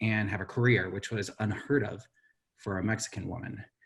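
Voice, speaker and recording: Somewhat breathy, a man with an American accent speaks in a monotone, flat intonation. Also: quiet background. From Central Valley, California. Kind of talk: virtual panel discussion. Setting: virtual event.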